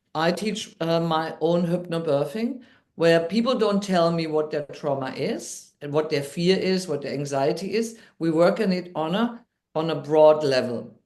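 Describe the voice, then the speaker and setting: Fairly low-pitched female voice, ordinary pitch variation, fairly slow pace. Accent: German. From Germany. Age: 60s. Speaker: NLP coach and midwife. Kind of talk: interview storytelling. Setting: podcast.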